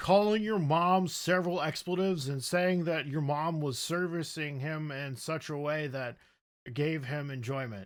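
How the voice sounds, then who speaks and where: A man speaks at a moderate pace in a normal speaking voice, with ordinary pitch variation. The recording is very clean, with a silent background. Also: fairly high pitch for a man. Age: 30s. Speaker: vtuber podcast host. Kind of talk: casual chat.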